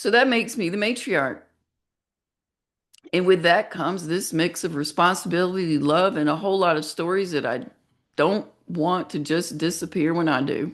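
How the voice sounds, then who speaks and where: Against a quiet background, a normal speaking voice goes at a moderate pace with ordinary pitch variation. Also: woman, fairly low pitch for a woman. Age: 50s. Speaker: special education teacher and video blogger. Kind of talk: casual monologue reading AI-written script. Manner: conversational, with asides.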